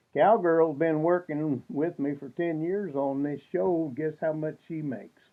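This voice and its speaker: Speaking fairly slowly with hardly any pauses, a man uses a fairly high pitch and ordinary pitch variation. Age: 60s. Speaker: western swing radio show host. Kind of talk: casual chat to fans on video. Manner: hesitant, many fillers.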